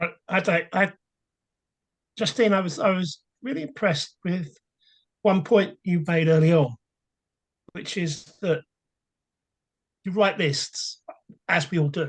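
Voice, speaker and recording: The speaker talks at a fairly slow pace. Long, frequent pauses break up the speech. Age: 60s. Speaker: session participant. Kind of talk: group discussion comment. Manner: halting.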